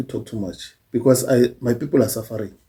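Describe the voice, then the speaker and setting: Somewhat breathy with a dark, mellow tone, a man speaks at a moderate pace. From South Africa. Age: old. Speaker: YouTuber, social commentator. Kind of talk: casual monologue. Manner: halting.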